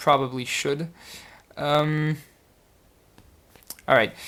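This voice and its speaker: A man with a French accent, fairly high pitch and a fairly slow pace. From France. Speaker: puzzle solver YouTuber. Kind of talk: casual solve commentary. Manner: hesitant, many fillers.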